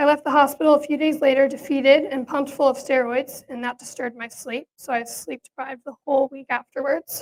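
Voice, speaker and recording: A woman with an American accent talks at a fairly quick pace, her pitch high and intonation fairly even. The sound is dry and close, with no echo. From Pennsylvania, Allentown. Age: 20s. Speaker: patient advocate. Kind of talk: personal testimony speech. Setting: presentation to audience.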